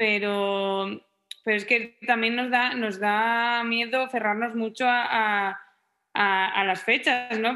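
This woman's voice sits at a fairly high pitch. Her intonation is monotone and flat. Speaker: musician and engineer. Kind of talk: interview.

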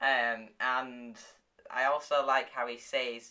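A woman with an American accent has a very deep, low pitch and a bright, sharp tone, speaking at a very slow pace. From outside the US. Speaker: podcast host reviewing TV shows. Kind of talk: casual chat.

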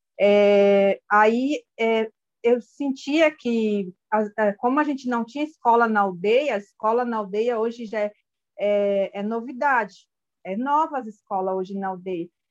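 The speaker talks at a fairly slow pace with ordinary pitch variation, in a Brazilian Indigenous accent. The sound is dry and close, with no echo. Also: woman, fairly high pitch for a woman. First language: Guarani Mbya (speaking Portuguese). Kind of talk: interview. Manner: halting.

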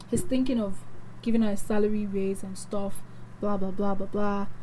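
A woman's dark, mellow tone with a Nigerian accent. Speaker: radio host. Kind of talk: casual chat. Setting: studio. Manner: animated.

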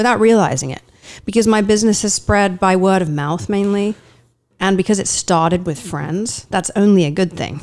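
With a slight English accent, a woman speaks at medium pitch and a moderate pace with ordinary pitch variation. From eastern England. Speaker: actor, voiceover artist and headshot photographer. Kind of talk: casual interview.

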